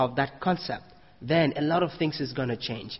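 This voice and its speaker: A man's fairly high, somewhat breathy voice shows ordinary pitch variation as he talks. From Cameroon. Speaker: Baha'i speaker. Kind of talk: sermon.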